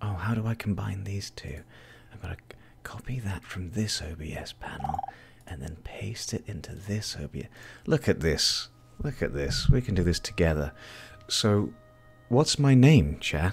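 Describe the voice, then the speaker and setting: With a British accent, a man speaks at a fairly low pitch and a moderate pace, his pitch swinging very widely. Long, frequent pauses break up his speech, and his loudness shifts in big swings. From Britain. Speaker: live streamer. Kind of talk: casual chat. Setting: live stream.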